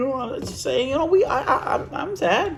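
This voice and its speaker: A man mumbles at a very fast pace, with audible room echo and noticeable background noise. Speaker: vlogger. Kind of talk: casual monologue vlog. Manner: rambling, self-described mumbling.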